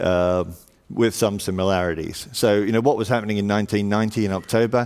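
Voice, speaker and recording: Over a silent background in a very clean recording, a man talks very fast with fairly even intonation. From Australia, Sydney. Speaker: panel moderator, insurance consultancy leader. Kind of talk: conference panel introduction. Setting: stage with audience. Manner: hesitant, many fillers.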